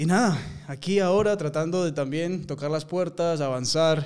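A man with a plain, everyday voice, a moderate pace, and ordinary pitch variation. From Peru. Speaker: actor. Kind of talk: casual interview conversation.

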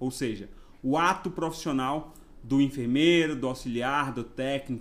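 Lively intonation from a man with a Bahian accent. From Bahia, Brazil (Ilhéus region). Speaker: nurse and nursing council president. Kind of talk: podcast interview.

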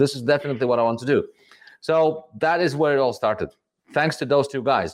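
This man has a Latvian accent and a fairly high pitch. He talks at a fairly quick pace with ordinary pitch variation. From Riga, Latvia. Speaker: tequila brand ambassador and former bartender. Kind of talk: casual interview. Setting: video call.

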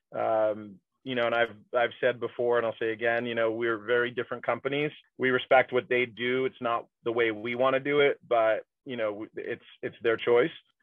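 A man speaks with an American accent, his medium-pitched voice monotone and flat in intonation. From Texas, San Antonio. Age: 40s. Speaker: brewery executive. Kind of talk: interview.

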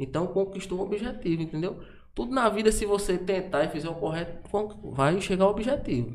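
High male voice with lively intonation at a fairly quick pace, amid noticeable background noise and audible room echo. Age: 30s. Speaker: event producer. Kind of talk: casual chat.

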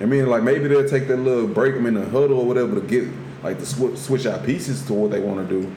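Over noticeable background noise and audible room echo, a man with an American accent talks at a very fast pace. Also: medium pitch for a man, ordinary pitch variation. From US. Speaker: podcast co-host. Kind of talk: casual chat.

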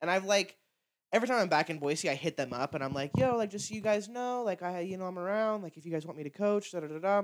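A man talks very fast at a high pitch, with big swings in loudness. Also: ordinary pitch variation. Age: 20s. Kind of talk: casual chat.

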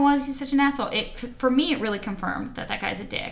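Someone talks at a very fast pace over noticeable background noise, with audible echo in the room. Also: woman. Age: 30s. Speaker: podcast host. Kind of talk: casual chat.

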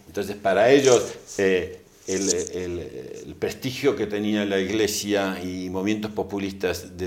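A man speaks at a fairly slow pace with a fairly low pitch. Room echo is audible. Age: 60s. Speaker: think tank scholar on liberty. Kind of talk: interview. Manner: hesitant with frequent fillers.

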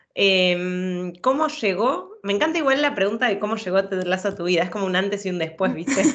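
A woman with a medium pitch and lively intonation speaks at a moderate pace with hardly any pauses, over noticeable background noise. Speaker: film and TV podcaster. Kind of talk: casual chat.

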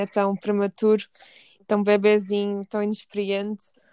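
Her pace is moderate and her pitch fairly high. This woman's recording sounds dry and close, without echo. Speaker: podcast host, political scientist. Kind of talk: casual chat. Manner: halting.

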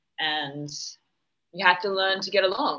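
A woman with an Australian accent speaks in a bright, sharp tone. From Western Australia, Perth. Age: 20s. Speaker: podcast guest, former model. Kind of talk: casual chat. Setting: remote call.

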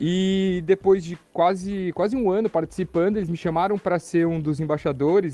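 A man's voice is heard. It carries a dark, mellow tone. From Brazil, São Paulo city. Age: 30s. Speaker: coworking and ecovillage entrepreneur. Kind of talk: casual podcast interview. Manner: animated.

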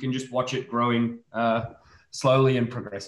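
At a moderate pace, a man with an Australian accent speaks at medium pitch in a somewhat breathy voice. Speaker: immunology researcher. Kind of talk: casual expert discussion.

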